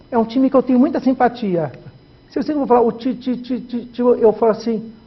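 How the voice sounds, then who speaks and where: A man's extremely high-pitched voice at a fairly quick pace, with ordinary pitch variation. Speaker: journalist. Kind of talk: interview.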